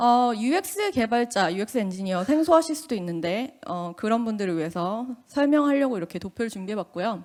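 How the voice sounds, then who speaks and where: Very clean and silent in the background, this recording has a woman speaking fairly quickly with hardly any pauses. Her pitch is fairly high and swings very widely. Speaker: UX engineer, conference speaker. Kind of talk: conference talk. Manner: casual, with fillers.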